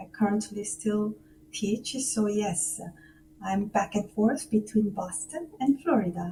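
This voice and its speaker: A woman speaks at a fairly slow pace in a fairly high pitch. Her voice is somewhat breathy, with ordinary pitch variation. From South Korea, Seoul. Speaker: musician and music professor. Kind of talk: radio interview. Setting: remote call from home.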